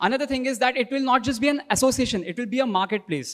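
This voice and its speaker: In a very clean recording with a silent background, a man with an Indian accent talks at a very fast pace, his pitch extremely high with ordinary variation. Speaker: workshop participant presenting. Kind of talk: group presentation.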